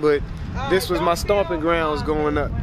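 A man at a moderate pace, monotone and flat, with a dry sound and no echo, plus noticeable background noise. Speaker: local guide. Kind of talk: interview answer. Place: street. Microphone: phone near.

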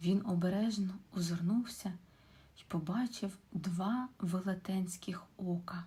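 What you hear is an unforced reading voice.

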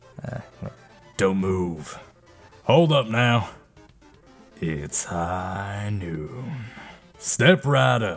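In a put-on character voice, a man speaks very slowly at a fairly low pitch with very wide pitch swings and long, frequent pauses, faint music playing in the background.

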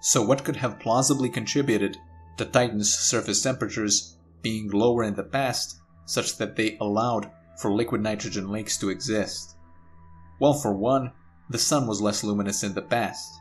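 A man speaks at a moderate pace, his pitch fairly low with ordinary variation. Music plays in the background. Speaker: science channel narrator. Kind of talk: educational narration.

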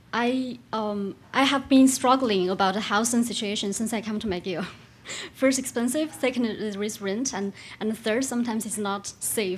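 A woman talks somewhat breathily at a moderate pace, her fairly high voice moving with ordinary pitch variation. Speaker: graduate student in audience; audience member. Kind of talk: audience question. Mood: polite, slightly nervous. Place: hall. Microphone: podium.

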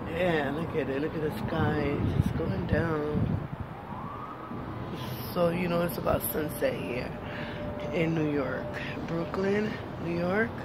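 Over loud background noise, a woman speaks at a very slow pace with long, frequent pauses and ordinary pitch variation. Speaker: vlogger. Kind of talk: casual vlog chat. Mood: calm, relaxed. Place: street. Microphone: phone near.

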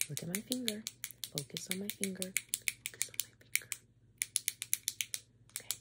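A woman's voice with a fairly bright tone and a fairly slow pace

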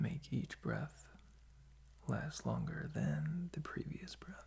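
A soft-spoken man over light background noise. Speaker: sleep-relaxation host. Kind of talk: soft-spoken sleep guidance, ASMR-like. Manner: soft, slow ASMR speaking in bed. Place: home room. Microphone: phone near.

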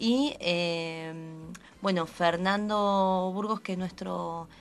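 A woman speaks at a very slow pace with ordinary pitch variation. Light background noise can be heard. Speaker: actress. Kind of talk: radio interview answer. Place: studio. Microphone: studio mic.

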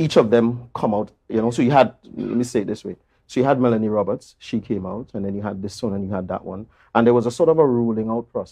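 A man with a dark, mellow tone talks at a very fast pace with big swings in loudness and ordinary pitch variation against a quiet background. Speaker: interview guest. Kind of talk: interview answer. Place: studio. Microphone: lapel.

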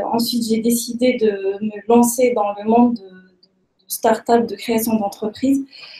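A woman's fairly high-pitched voice with a dark, mellow tone, in audible room echo. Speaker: startup founder. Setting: stage with audience. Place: meeting room. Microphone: webcam.

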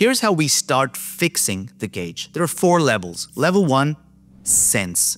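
A man speaks at a fairly slow pace with faint music in the background. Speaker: health educator. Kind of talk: educational explainer. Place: home room. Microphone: studio mic.

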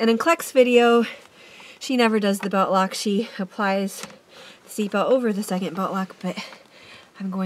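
Noticeable background noise sits behind a woman whose pitch rises and falls in an ordinary way. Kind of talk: tutorial narration. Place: car. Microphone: phone near.

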